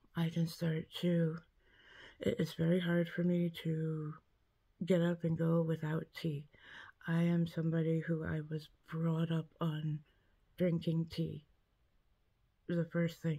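Against a quiet background, a woman with a fairly low pitch and a dark, mellow tone speaks very slowly in a flat monotone, somewhat breathy, with very even loudness and long, frequent pauses. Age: 40s. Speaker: vlogger with chronic illness; health vlogger. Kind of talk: casual vlog monologue. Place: home room. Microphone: phone near.

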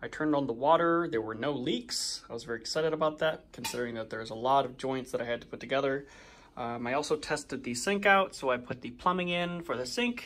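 With ordinary pitch variation, a man delivers his words at a fairly quick pace. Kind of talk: casual tutorial walkthrough. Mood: pleased, relaxed. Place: home room. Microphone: phone near.

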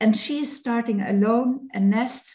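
A woman's fairly high, somewhat breathy voice with a dark, mellow tone and a Dutch accent, at a fairly slow pace with ordinary pitch variation and a quiet background. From Netherlands. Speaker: beekeeper; presenter. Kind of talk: webinar presentation. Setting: video call. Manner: halting. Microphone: video call.

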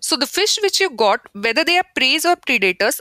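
A woman's raised, projected voice, high-pitched with very wide pitch swings, bright and sharp in tone, at a moderate pace in a dry, close sound with no echo. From India. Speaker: podcast host, postdoctoral researcher. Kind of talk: interview.

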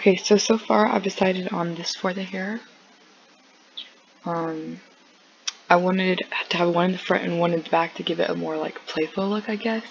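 Speaking at a moderate pace with long, frequent pauses, a woman has a medium pitch and fairly even intonation over noticeable background noise. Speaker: gaming tutorial youtuber. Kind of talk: tutorial. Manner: casual, hesitant with fillers.

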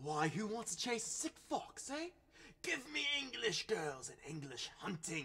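A man at a fairly slow pace. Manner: boisterous, cruel, shouting.

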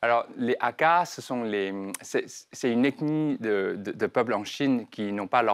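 A man with ordinary pitch variation talks at a fairly slow pace against a quiet background. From southern China (Guangdong). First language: Chinese (Cantonese) (speaking French). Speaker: entrepreneur; guest. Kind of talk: interview. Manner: halting. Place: studio. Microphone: lapel.

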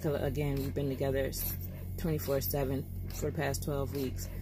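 Over music in the background, a woman with a very deep, low voice speaks at a moderate pace, the sound dry with no echo. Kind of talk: casual vlog chat. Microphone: phone near.

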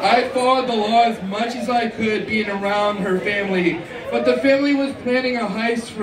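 The speech moves at a moderate pace with noticeable background noise. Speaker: stand-up comedian. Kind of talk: stand-up comedy set of scripted-sounding jokes and punchlines. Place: stage.

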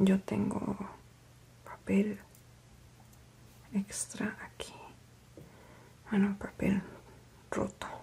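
The speaker is soft-spoken, going at a very slow pace with long, frequent pauses. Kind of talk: ASMR craft narration. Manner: soft-spoken, quiet.

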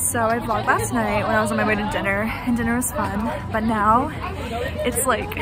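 A woman at a moderate pace, the sound dry with no echo, crowd noise in the background. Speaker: college student vlogger. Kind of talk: casual vlog chat. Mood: relaxed, upbeat. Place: street. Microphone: phone near.

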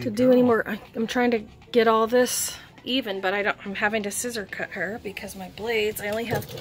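A woman with fairly even intonation over light background noise. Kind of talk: casual vlog chat. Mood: cheerful, slightly apologetic. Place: home room. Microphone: phone near.

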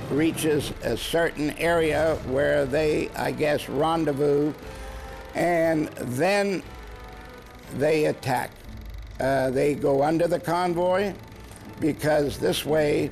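Spoken at a very slow pace with long, frequent pauses, this voice has an American accent, very even loudness, fairly even intonation, and faint music in the background. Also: man, fairly high pitch for a man. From USA. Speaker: WWII navy veteran. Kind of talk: interview answer. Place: studio.

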